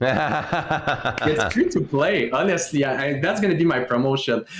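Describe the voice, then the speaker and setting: In a French Canadian accent, a man talks at a fairly slow pace with very wide pitch swings. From Quebec. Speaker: streamer. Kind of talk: casual chat.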